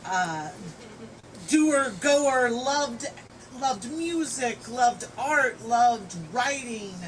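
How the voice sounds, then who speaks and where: A loud, high-pitched woman's voice, very slow, with long, frequent pauses and lively intonation. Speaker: friend giving a eulogy. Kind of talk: eulogy speech. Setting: memorial gathering at a home.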